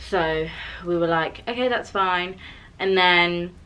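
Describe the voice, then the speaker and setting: This woman's voice sits at a fairly low pitch, with a bright, sharp tone. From UK. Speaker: vlogger. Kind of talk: casual storytelling chat. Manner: fast; animated.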